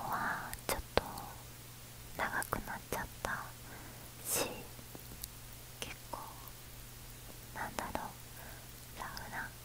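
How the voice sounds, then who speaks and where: The voice is a woman's, and it is a whisper. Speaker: ASMR creator. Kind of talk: soft-spoken ASMR chat. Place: home room. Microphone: earbuds.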